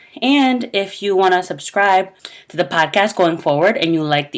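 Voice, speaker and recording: Her voice sits at a medium pitch, with very wide pitch swings. The woman keeps a moderate pace. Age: 20s. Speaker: podcast host, licensed clinical social worker. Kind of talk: podcast outro; casual chat.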